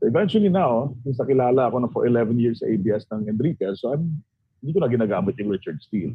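Lively intonation runs through a man's very fast speech. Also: medium pitch for a man. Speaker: former radio DJ. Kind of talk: casual chat. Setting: video call.

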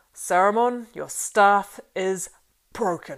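A female-sounding voice, at middle pitch, performs a put-on character voice. The pace is very slow. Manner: slow, authoritative.

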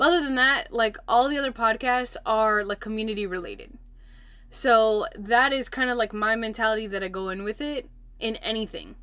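A woman's fairly high-pitched, normal speaking voice with an American accent, at a moderate pace with ordinary pitch variation, in a very clean recording with a silent background. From Milwaukee, Wisconsin, US. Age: 20s. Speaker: podcast host and entrepreneur. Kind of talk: casual solo podcast talk. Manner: chatty, many fillers.

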